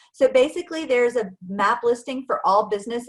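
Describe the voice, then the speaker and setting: With lively intonation, an unremarkable speaking voice proceeds at a moderate pace. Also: woman. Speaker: marketing director presenting a webinar. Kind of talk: presentation.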